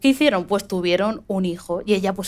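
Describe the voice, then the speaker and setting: A woman talks at a fairly quick pace, her voice at a medium pitch with ordinary pitch variation. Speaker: podcast host. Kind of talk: live podcast show before an audience. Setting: stage with audience.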